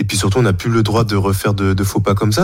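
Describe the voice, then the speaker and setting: Over music in the background and audible room echo, a man with a fairly low pitch speaks at a very fast pace with fairly even intonation. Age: 30s. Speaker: fencer. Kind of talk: casual chat.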